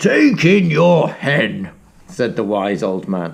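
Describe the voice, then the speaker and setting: Growling in a put-on character voice, a man speaks very slowly at a medium pitch with very wide pitch swings. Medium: read story.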